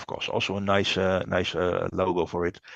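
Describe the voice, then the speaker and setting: A man speaks at a moderate pace over a quiet background. The sound is dry and close, with no echo. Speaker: webinar presenter. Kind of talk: webinar presentation. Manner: halting, many fillers.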